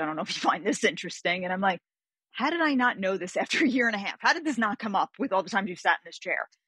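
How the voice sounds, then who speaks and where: A woman talks at a very fast pace with lively intonation, in a dry sound with no echo against a quiet background. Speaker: guest. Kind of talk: interview answer. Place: home room.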